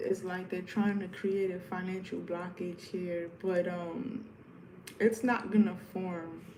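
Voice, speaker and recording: A woman with an American accent, very slow and fairly even, audible room echo and noticeable background noise. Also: medium pitch for a woman. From New York. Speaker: tarot reader. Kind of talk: live stream tarot reading. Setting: live stream at home. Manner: casual, repetitive.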